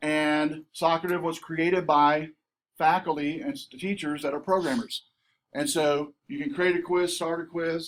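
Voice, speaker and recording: A man with a high-pitched voice and a Southern US accent. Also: ordinary pitch variation. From southern Missouri. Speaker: college instructor. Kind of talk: conference workshop presentation. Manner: fast; animated.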